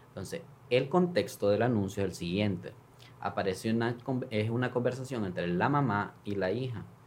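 At a medium pitch and a moderate pace, a man talks in a plain, everyday voice, his pitch varying in an ordinary way. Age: 30s. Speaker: congressman. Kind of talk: interview, personal story.

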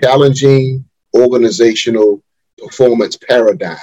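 A man with an American accent and an unremarkable speaking voice, medium in pitch, at a fairly slow pace, with a dry, close sound and no echo. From Wilmington, North Carolina. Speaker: organizational consultant and executive coach. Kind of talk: interview.

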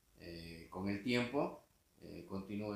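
A man's voice sits at a fairly low pitch with ordinary pitch variation. Audible room echo surrounds it. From Mexico, Tapachula, Chiapas. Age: 60s. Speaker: criminal defense lawyer and professor. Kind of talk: interview.

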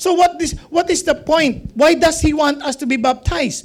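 The speaker has a Filipino accent. The pace is moderate. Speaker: pastor or Bible teacher. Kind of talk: Bible teaching to a live group.

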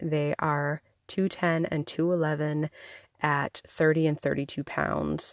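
A woman speaks at a very slow pace in a very deep, low voice with monotone, flat intonation. The sound is dry and close with no echo. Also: quiet background. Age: 30s. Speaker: podcast host. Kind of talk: casual monologue. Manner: casual, chatty.

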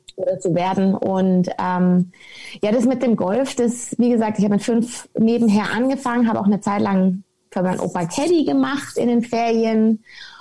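On a very clean recording with a silent background, a woman speaks at a moderate pace in a fairly high, somewhat breathy voice with a dark, mellow tone, ordinary pitch variation and very even loudness. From Munich, Bavaria. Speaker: former professional golfer. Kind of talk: podcast interview.

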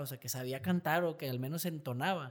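A man talks fairly quickly in an ordinary speaking voice with ordinary pitch variation, captured in a very clean recording with a silent background. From Mexico. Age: 30s. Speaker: singer and engineer. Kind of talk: casual interview chat. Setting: studio.

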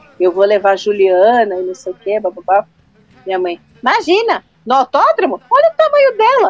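Recorded with a dry, close sound and no echo, a woman speaks in an animated tone at a moderate pace. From Brazil, São Paulo area. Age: 30s. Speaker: music journalist and radio presenter. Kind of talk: casual chat.

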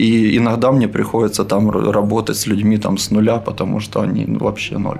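A man talks at a moderate pace with hardly any pauses. Noticeable background noise runs underneath. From Ukraine, Dnipro. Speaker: crossfit coach. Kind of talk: casual interview.

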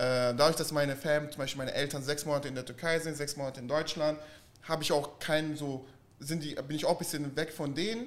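A fairly high-pitched man at a very fast pace with fairly even intonation. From southern Germany (Stuttgart) and Florida. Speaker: vintage clothing dealer. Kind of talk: casual chat.

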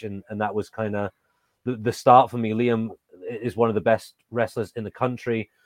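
A man with an English accent speaks in a monotone, flat intonation, in a dry, close sound with no echo. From England. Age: 30s. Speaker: professional wrestler and trainer. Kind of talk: interview.

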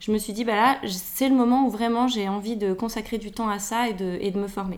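At a moderate pace, a woman speaks in a plain, everyday voice with fairly high pitch. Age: 40s. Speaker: nutritionist. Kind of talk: casual interview. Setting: at her home.

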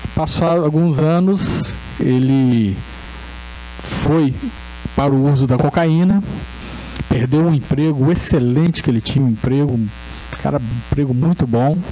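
Amid noticeable background noise and audible room echo, a man with a fairly high pitch talks at a fairly slow pace, with long, frequent pauses, ordinary pitch variation and very even loudness. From Brazil, Resende (Rio de Janeiro state). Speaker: spiritist lecturer. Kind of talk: lecture. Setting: spiritist center hall with audience.

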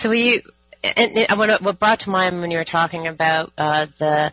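A woman speaks at a very deep, low pitch with ordinary pitch variation while music plays in the background. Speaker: radio host. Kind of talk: radio interview.

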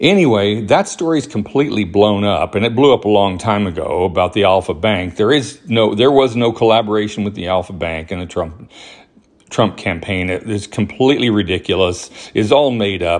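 A man's fairly low voice with a Southern US accent, fairly quick, showing ordinary pitch variation. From US South, Alabama (Huntsville). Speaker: podcast host. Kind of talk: casual monologue. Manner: hesitant, many fillers.

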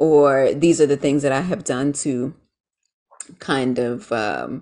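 In a very deep, low pitch, a woman speaks with ordinary pitch variation. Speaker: small business owner. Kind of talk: casual interview chat.

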